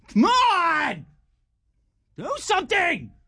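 The pitch climbs extremely high. It is a put-on character voice. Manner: frustrated, shouting.

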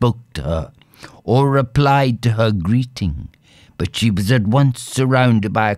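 The plain reading aloud has ordinary pitch variation.

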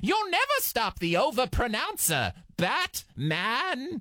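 A put-on character voice pitched fairly high comes through at a fairly slow pace. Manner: theatrical, overblown.

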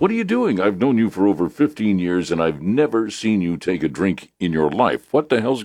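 The natural reading voice here has lively intonation.

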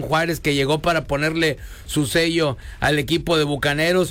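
At a moderate pace, a man with a fairly high pitch and fairly bright tone speaks with fairly even intonation.

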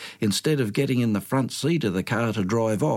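What we hear is an unforced reading voice.

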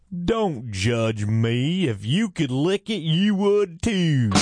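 Putting on a character voice, a man speaks very slowly at a fairly high pitch with very wide pitch swings. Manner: sassy, defensive.

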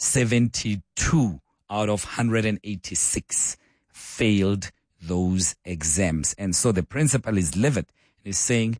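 A man speaks slowly with few pauses, his pitch fairly low. The tone is slightly mellow, and the pitch variation is ordinary.

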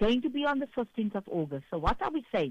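A woman speaks at a fairly high pitch. Her pitch swings are big.

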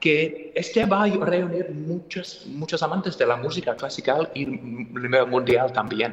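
A man speaks with an English accent at a fairly high pitch. His intonation stays fairly even, and his pace is fairly slow.

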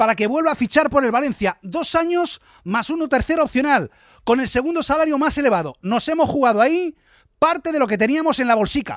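A man delivers lively intonation and a dramatic, fairly bright tone at an extremely high pitch and fairly quick pace, in a dry, close sound with no echo on a very clean recording with a silent background.

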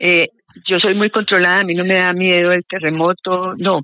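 A woman speaks at a moderate pace with fairly even intonation. Her tone is bright and sharp, and the sound is dry and close with no echo.

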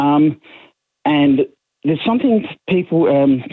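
Slowly and with lively intonation, a man speaks with a slightly husky edge. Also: fairly high pitch for a man.

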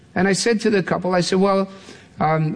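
Audible room echo surrounds a man who speaks at a moderate pace with vocal fry.

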